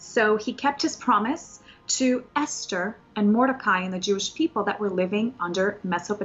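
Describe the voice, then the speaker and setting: At a moderate pace, a woman with a normal speaking voice talks at medium pitch with lively intonation. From Soviet Union, raised in US from age 4. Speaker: Bible study teacher. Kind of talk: Bible teaching.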